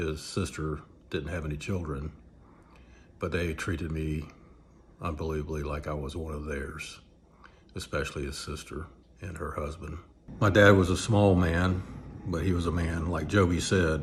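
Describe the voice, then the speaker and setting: A man with a very deep, low pitch and a somewhat breathy voice speaks at a moderate pace, leaving long, frequent pauses. His intonation stays fairly even, and the room echoes audibly. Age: 60s. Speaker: church member giving testimony. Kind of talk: testimony. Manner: hesitant, with fillers.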